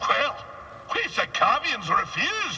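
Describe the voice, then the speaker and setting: A man speaks in a put-on character voice. There is clear background noise. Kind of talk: salty sea-yarn storytelling. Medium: machinima. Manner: rambling, theatrical, digressive.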